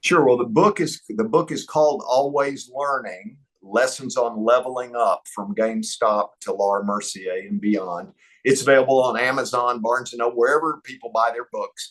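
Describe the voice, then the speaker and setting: Speaking with an East Texas accent, a man uses lively intonation at a medium pitch and a moderate pace. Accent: East Texas twang. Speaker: entrepreneur. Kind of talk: interview.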